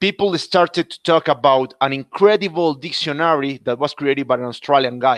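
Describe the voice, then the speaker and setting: In a Spanish accent, the speaker talks at a moderate pace with ordinary pitch variation, in a dry, close sound with no echo. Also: man. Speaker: podcast host. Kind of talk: interview. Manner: scripted intro.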